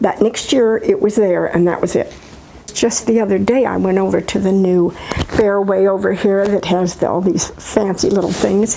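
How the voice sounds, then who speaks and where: With an American accent, a woman talks at a moderate pace in a medium pitch, her intonation fairly even and her loudness very even. Noticeable noise runs in the background. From US Midwest. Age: 80s+. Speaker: retired teacher. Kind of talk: interview. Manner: halting.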